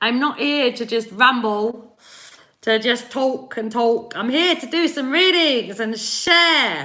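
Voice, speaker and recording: A woman speaks at a fairly slow pace with an East London accent and a high pitch. Noticeable background noise can be heard. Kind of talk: casual, friendly.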